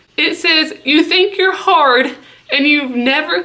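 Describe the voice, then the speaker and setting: Over noticeable background noise, a woman with an American accent speaks at a high pitch. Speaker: pet YouTuber. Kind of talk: casual vlog commentary.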